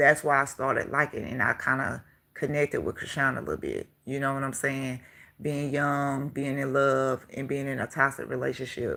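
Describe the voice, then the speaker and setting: Her intonation monotone and flat, a woman speaks at a moderate pace with a very deep, low pitch. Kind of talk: casual chat. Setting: livestream.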